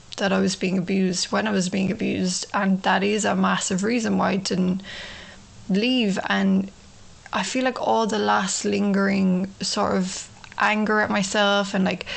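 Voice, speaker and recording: A woman talks with an Irish accent at a very even loudness. Background noise is noticeable. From Ireland. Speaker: podcast host, abuse survivor. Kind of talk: personal testimony monologue. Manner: casual, many fillers.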